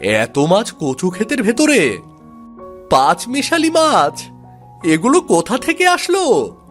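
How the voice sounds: Faint music plays behind a man doing a cartoonish character voice, high-pitched and fairly bright in tone, with very wide pitch swings and a slow pace.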